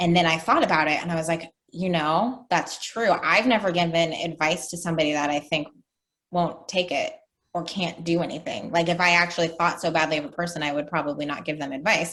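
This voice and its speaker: A woman with an ordinary speaking voice, fairly quick in pace and fairly even in intonation. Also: fairly low pitch for a woman. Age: 30s. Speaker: life coach. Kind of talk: interview.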